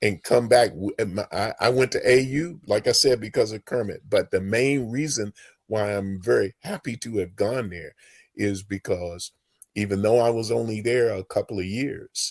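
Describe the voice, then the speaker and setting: A man's somewhat breathy, medium-pitched voice with ordinary pitch variation, a dry, close sound with no echo, and a very clean recording with a silent background. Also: moderate pace. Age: 70s. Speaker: former college basketball player. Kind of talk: interview.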